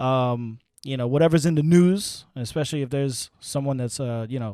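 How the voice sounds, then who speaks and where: This man speaks with a New York accent. His pitch sits in the medium range. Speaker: sports podcast host. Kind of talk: casual chat. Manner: halting, many fillers and repeats; animated.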